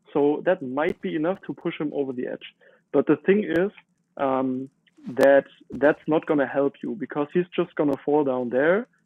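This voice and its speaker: A man with a German accent talks at a moderate pace in a fairly high pitch, with ordinary pitch variation. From Germany. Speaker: gamer streamer. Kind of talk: live gameplay commentary. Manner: hesitant, many fillers.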